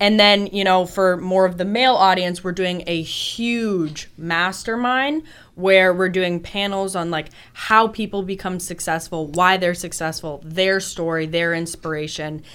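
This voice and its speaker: A woman with a plain, everyday voice speaks at a fairly slow pace in an American accent. Her pitch is medium, with ordinary variation. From Boston. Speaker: life coach. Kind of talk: interview. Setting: radio studio.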